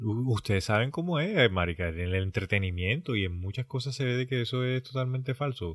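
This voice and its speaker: At a fairly quick pace, a man speaks with lively intonation in a somewhat breathy voice. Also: medium pitch for a man. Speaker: podcast co-host. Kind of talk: casual chat.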